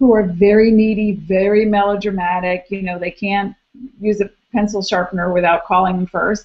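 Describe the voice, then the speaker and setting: A woman talks at a moderate pace. Her pitch sits in the medium range. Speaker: astrologer. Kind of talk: live video hangout monologue. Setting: live video stream. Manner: animated.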